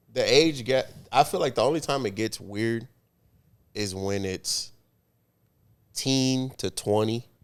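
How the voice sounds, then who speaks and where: A man speaks fairly slowly at a medium pitch, taking long, frequent pauses, and his pitch varies in an ordinary way. The recording is very clean, with a silent background. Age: 30s. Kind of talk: casual chat.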